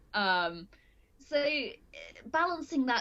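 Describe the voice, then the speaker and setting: Loud and with very wide pitch swings, a woman speaks in a British accent. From UK. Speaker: multimedia journalist. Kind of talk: casual interview chat. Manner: halting, self-correcting.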